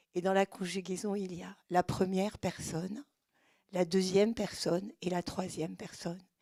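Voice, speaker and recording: In a dry, close sound with no echo, a woman speaks at a medium pitch and a fairly slow pace, her dark, mellow tone delivered with monotone, flat intonation. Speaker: speech therapist, audience member. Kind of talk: audience question.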